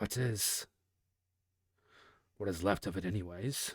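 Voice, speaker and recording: This man performs a put-on character voice. It is raspy and fairly low in pitch. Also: moderate pace. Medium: read story. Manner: measured, scholarly.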